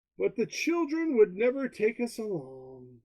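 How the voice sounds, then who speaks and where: Putting on a character voice, a man talks at a high pitch with very wide pitch swings. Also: moderate pace. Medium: read story. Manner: grumbling.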